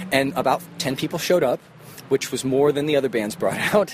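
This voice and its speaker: A man talks at a fairly high pitch with ordinary pitch variation. Noticeable background noise can be heard. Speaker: touring musician. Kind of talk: casual chat. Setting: outdoors.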